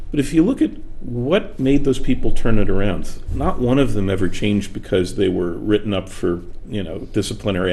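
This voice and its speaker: A man talks fairly quickly, his pitch varying in an ordinary way, with audible room echo around him. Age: 60s. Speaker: author and workplace speaker. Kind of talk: interview conversation. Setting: studio.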